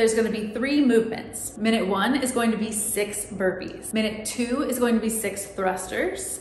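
A woman speaks at a moderate pace with ordinary pitch variation. Audible room echo and light background noise surround her. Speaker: fitness coach. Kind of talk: workout instructions to camera. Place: garage. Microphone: camera far.

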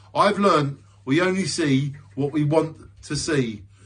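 A man talks at a very slow pace with a warm tone and a fairly high pitch. His pitch variation is ordinary, and the background is quiet. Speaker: poet and video creator. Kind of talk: spoken word poetry. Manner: introspective, rhythmic, earnest delivery; reflective, warm sign-off. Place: home room. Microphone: phone near.

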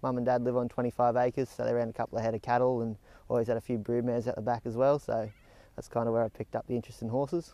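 A man's very fast, monotone delivery at a medium pitch, with a dark, mellow tone, flat intonation and a dry sound with no echo. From Tamworth, New South Wales, Australia; New South Wales, Australia. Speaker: horse stud trainee. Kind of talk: interview; interview answer. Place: farm machine.

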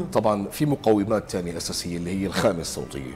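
Music plays in the background. A man with a very deep, low pitch speaks at a fairly quick pace. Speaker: voice-over artist and trainer. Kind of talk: TV morning show interview answer. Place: studio. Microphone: lapel.

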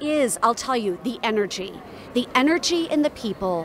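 Recorded dry with no echo but with noticeable background noise, a woman speaks at a moderate pace with ordinary pitch variation. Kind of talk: interview answer. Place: hall. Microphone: handheld.

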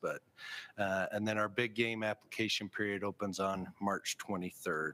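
Speaking at a moderate pace, a man with a fairly low pitch uses a bright, sharp tone and monotone, flat intonation. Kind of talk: formal meeting report. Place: meeting room.

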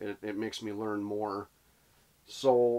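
His pace is fairly slow. The man's voice sits fairly low. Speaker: angler vlogger. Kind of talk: casual vlog chat. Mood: relaxed, reflective. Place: tent. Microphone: phone near.

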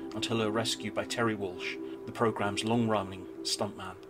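Music plays in the background. A man speaks at a fairly quick pace. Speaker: video narrator. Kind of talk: storytelling narration.

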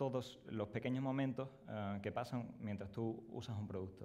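In a Sevillian accent, the voice moves at a fairly slow pace with a dark, mellow tone and fairly even intonation. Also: man. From Spain. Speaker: product designer; presenter. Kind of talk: conference presentation. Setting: stage with audience. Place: hall.

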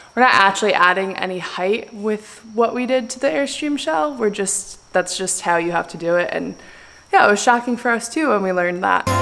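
A woman speaks at a moderate pace while faint music plays in the background. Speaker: vlogger. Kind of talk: casual vlog chat. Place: garage. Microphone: phone near.

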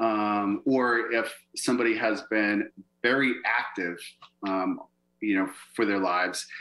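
A man speaks at a fairly slow pace with a bright, sharp tone and ordinary pitch variation. The background is quiet. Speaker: acupuncturist. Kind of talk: lecture. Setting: video call. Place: home room. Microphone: webcam.

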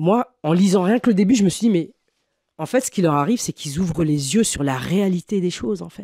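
A woman talks at a fairly quick pace with a dark, mellow tone and fairly low pitch. Her intonation is lively, and the sound is dry with no echo over a quiet background. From Paris suburbs (banlieue), France; France. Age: 40s. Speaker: dancer and choreographer; podcast guest. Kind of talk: interview, casual conversation; interview answer. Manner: halting, many hesitations. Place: studio. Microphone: studio mic.

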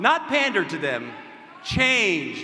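A man's raised, projected voice at a fairly slow pace, with audible room echo. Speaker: party vice chair candidate; candidate. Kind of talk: debate speech. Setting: stage with audience. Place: hall. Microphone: podium.

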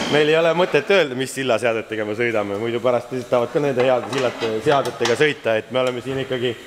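Light background noise and audible room echo accompany a man speaking with ordinary pitch variation. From Estonia. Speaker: drift racer and vlogger; vlogger. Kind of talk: casual vlog narration. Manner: animated. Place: workshop. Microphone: phone near.

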